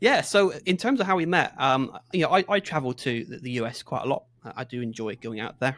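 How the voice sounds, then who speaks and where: A man with a West Country accent talks at a fairly quick pace. His intonation is lively, and his loudness swings widely. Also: fairly high pitch for a man. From southwest England, Exeter in Devon. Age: 30s. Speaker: podcast co-host. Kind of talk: casual chat. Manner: halting.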